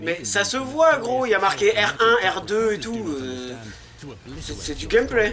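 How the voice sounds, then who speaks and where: Against noticeable background noise, a man uses a raised, projected voice, high in pitch with very wide swings, at a very slow pace. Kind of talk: casual game trailer reaction. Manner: excited.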